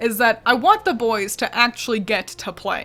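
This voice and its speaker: With music in the background, a woman speaks at a moderate pace in a fairly high voice. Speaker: video game commentary youtuber. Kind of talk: scripted video commentary. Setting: at home with roommate nearby. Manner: quiet, trying not to disturb.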